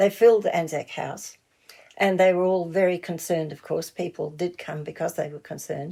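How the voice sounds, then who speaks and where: A woman's dark, mellow tone at a fairly quick pace with fairly even intonation. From New Zealand. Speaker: founding member of a broadcaster support group, writer and broadcaster. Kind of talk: interview. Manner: halting, many fillers and restarts.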